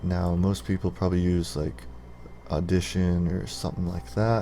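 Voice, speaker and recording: Soft-spoken, a man talks at a very deep, low pitch. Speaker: gaming YouTuber. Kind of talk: tutorial. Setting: screen recording with Open Broadcaster.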